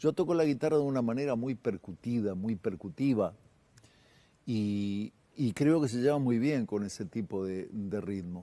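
A man speaks at a fairly slow pace with a Uruguayan accent. His tone is dark and mellow. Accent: Rioplatense Spanish (Uruguayan). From Uruguay, Montevideo. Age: 60s. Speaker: singer-songwriter and guitarist; guest. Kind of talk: casual TV interview. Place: studio. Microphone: lapel.

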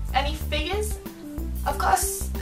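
With clear music in the background, a woman speaks in a Geordie accent. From Northeast England. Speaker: vlogger. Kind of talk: casual talk to camera. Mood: light, playful, slightly giggly. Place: home room.

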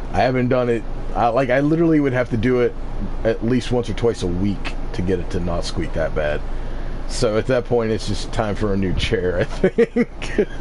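Noticeable background noise sits behind a man speaking at medium pitch. He moves at a moderate pace with lively intonation. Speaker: streamer. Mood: relaxed, slightly resigned. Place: home room.

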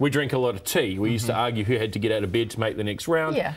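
The man talks very fast with ordinary pitch variation. Music plays in the background. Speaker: guest. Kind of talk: interview answer. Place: studio. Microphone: lapel.

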